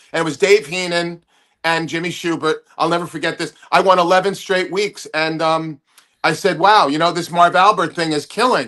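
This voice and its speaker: Speaking at a moderate pace, a man uses a high pitch with a bright, sharp tone and fairly even intonation. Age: 60s. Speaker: comedian. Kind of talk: casual chat.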